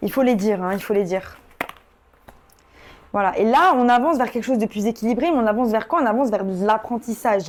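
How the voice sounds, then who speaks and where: A woman with a fairly high pitch talks at a very fast pace, broken by long, frequent pauses. Her pitch variation is ordinary, and there is noticeable background noise. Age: 30s. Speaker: tarot reader. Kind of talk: tarot reading. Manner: casual, hesitant with many fillers.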